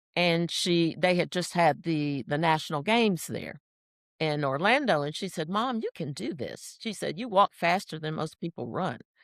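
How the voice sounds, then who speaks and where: A woman speaks in an unremarkable speaking voice. The recording is very clean, with a silent background. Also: fairly low pitch for a woman, lively intonation, moderate pace. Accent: American. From US, Washington DC. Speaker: senior track athlete. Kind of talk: interview.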